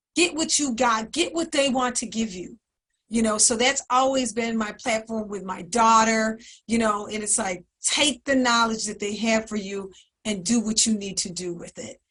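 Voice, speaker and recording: A woman speaks in a plain, everyday voice at a fairly high pitch. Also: ordinary pitch variation, moderate pace. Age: 60s. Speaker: community program staff, panelist. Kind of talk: panel discussion. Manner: conversational, many filler words.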